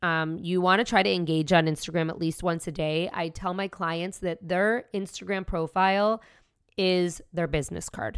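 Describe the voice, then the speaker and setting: With an American accent, a woman speaks at a moderate pace in a normal speaking voice and fairly low pitch, on a very clean recording with a silent background. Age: 40s. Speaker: podcast host, entrepreneur. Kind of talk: solo podcast tutorial.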